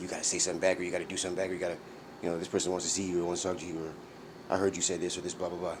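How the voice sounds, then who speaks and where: A man talks at a very fast pace in a very deep, low pitch. His intonation is monotone and flat, with audible room echo. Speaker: vlogger. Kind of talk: personal monologue vlog. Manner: halting, many fillers and restarts.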